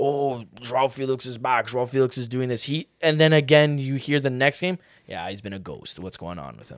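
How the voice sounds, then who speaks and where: A man with a normal speaking voice and medium pitch talks at a moderate pace, using ordinary pitch variation and big swings in loudness. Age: 20s. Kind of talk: casual chat.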